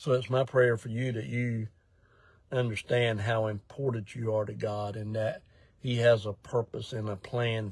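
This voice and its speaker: A man with a medium pitch speaks at a fairly slow pace, somewhat breathy and monotone with flat intonation, in a very clean recording with a silent background. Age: 60s. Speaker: ministry director. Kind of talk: casual update talk to viewers. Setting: in a parked car, live video. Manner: casual, with fillers and hesitations.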